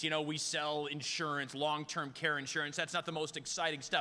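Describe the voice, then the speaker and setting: A man at a fairly quick pace. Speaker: corporate comedian and emcee. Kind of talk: corporate awards emcee with stand-up jokes. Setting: live conference room with audience. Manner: casual, conversational, humorous.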